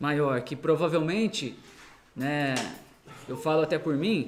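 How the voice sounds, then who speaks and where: With a Brazilian accent, a man speaks fairly slowly in a fairly high voice with ordinary pitch variation, and the room echo is audible. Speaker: missionary preacher. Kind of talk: sermon. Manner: halting, many fillers.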